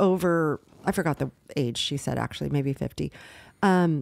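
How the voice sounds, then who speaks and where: A woman talks at a moderate pace in an ordinary speaking voice, pitched fairly low with ordinary pitch variation. The recording is very clean, with a silent background. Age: 60s. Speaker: podcast co-host. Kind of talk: casual chat.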